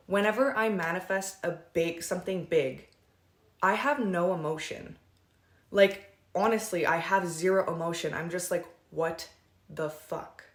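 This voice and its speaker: Over noticeable background noise, a woman with a fairly low pitch talks in an animated tone with ordinary pitch variation, leaving long, frequent pauses. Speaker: manifestation coach. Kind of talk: casual vlog talk. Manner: fast.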